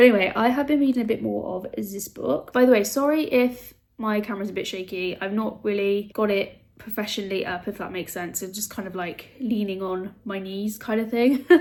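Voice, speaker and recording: A woman with a British accent talks with hardly any pauses, her loudness swinging widely. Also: medium pitch for a woman, ordinary pitch variation. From UK. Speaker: booktuber. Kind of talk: casual vlog talk. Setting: home, handheld camera. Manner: chatty, filler-heavy.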